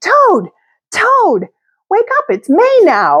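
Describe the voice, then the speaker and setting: A woman's squeaky, put-on character voice at an extremely high pitch, in a very clean recording with a silent background. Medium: read story.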